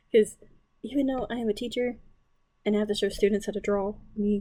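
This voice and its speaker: A woman speaks quietly at a medium pitch. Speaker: art teacher and artist. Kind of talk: drawing tutorial. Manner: casual, lots of fillers.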